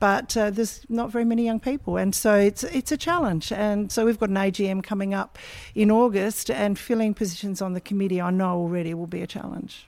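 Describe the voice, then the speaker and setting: In a very clean recording with a silent background, a woman with an Australian accent talks at a fairly quick pace, her medium pitch varying in an ordinary way. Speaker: community association chair. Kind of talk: interview.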